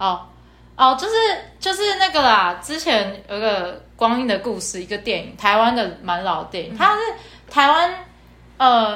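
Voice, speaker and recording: A woman with a fairly high pitch and very wide pitch swings, at a moderate pace, with audible room echo and noticeable background noise. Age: 20s. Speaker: podcast co-host. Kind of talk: casual chat.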